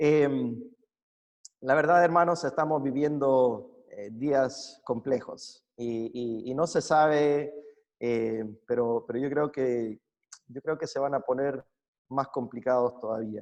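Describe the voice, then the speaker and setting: Speaking at a very slow pace, a man keeps his intonation fairly even. He talks with a Chilean accent. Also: medium pitch for a man. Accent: Chilean accent picked up. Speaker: preacher. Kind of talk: sermon. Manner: hesitant, many fillers and repetitions.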